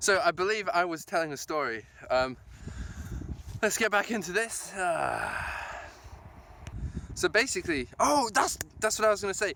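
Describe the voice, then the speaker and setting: A man's high, raised and projected voice, lively in intonation, at a moderate pace with long, frequent pauses. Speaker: vlogger. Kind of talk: casual vlog monologue. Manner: animated, enthusiastic; rambling with fillers and restarts.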